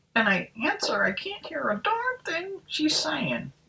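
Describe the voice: A high-pitched, put-on character voice speaks at a fairly slow pace.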